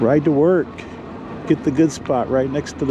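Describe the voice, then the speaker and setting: A man with an American accent speaks at a fairly slow pace in a fairly high pitch, with ordinary pitch variation and noticeable background noise. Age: 60s. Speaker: e-bike vlogger. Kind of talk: casual vlog while riding. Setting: outdoors on a bike. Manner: casual, hesitant with fillers.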